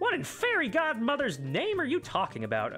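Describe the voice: A high-pitched, put-on character voice at a fairly quick pace, with clear music in the background.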